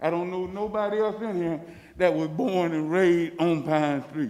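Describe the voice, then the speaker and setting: A man with a Florida accent talks at a high pitch with a dark, mellow tone. His pace is moderate, with audible room echo. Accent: Southern US (Florida). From US South, Leesburg, Florida. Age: 60s. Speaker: resident speaking at public comment. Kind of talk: public comment at city meeting. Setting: city commission meeting, at a microphone.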